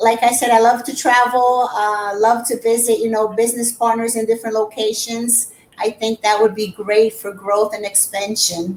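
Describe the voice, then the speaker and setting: In a Portuguese accent, a woman talks at a fairly high pitch and moderate pace, with hardly any pauses. Her intonation is monotone and flat, over noticeable background noise. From Brazil. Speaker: real estate agent. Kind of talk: casual interview.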